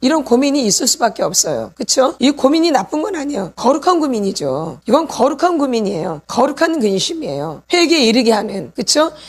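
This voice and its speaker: Over noticeable background noise, a woman with a high pitch speaks at a moderate pace in an animated tone, her pitch swinging very widely and hardly pausing. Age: 60s. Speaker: pastor's wife and healing ministry teacher. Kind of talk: sermon. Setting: church.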